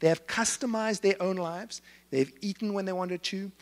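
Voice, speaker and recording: A high-pitched man at a fairly quick pace on a very clean recording with a silent background. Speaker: speaker on generational trends. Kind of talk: talk to live audience. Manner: fast.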